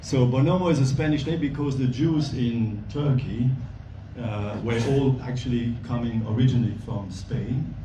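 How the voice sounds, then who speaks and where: With a Belgian accent, a man of medium pitch speaks at a moderate pace with ordinary pitch variation, heard over noticeable background noise and audible room echo. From Belgium. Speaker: volunteer bike instructor. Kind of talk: speech at an event. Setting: gala dinner with audience.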